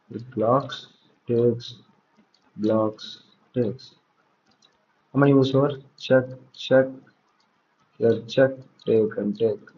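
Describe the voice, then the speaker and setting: Somewhat breathy and medium in pitch, a man speaks at a very slow pace with fairly even intonation and long, frequent pauses. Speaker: chess coach. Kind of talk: live puzzle solving. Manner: thinking aloud, halting.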